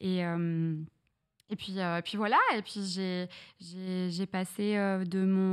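A woman is talking against a quiet background. Her pitch varies in an ordinary way. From northern France (Reims, Champagne). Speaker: streamer. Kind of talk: casual interview chat. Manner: hesitant, many fillers. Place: studio. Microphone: studio mic.

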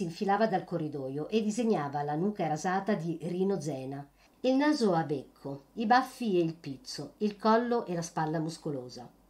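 A woman with a fairly low pitch uses a dramatic tone at a moderate pace. Her pitch swings very widely. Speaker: audiobook reader. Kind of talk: literary audiobook reading. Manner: dramatic, shifting between narration and gruff dialogue voices; expressive, vivid storytelling pace.

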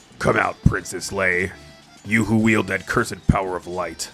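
Over clear music in the background, a man uses a put-on character voice that is very deep and low, speaking at a moderate pace. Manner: thunderous, commanding.

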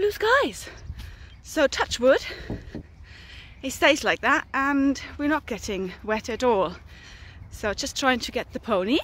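A woman at a very slow pace with long, frequent pauses, high in pitch with very wide pitch swings, dry sound with no echo, and light background noise. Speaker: horse owner vlogger. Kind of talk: casual vlog chat. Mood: cheerful, upbeat. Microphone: phone near.

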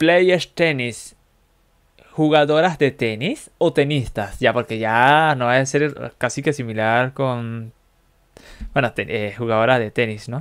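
The background stays quiet. Over it, a man speaks at a very slow pace. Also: ordinary pitch variation. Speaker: streamer learning English with an app. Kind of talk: live stream language practice. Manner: casual, halting with fillers.

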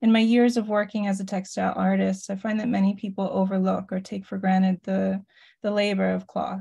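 Against a quiet background, a woman speaks at a fairly quick pace in a somewhat breathy, dark, mellow tone with monotone, flat intonation. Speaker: artist and educator; educator. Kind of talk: presentation. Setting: video call. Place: home room. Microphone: video call.

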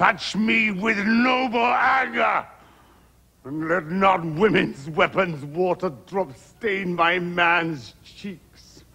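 A man at a very slow pace with lively intonation. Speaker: stage actor playing an old king. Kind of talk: dramatic verse monologue. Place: studio.

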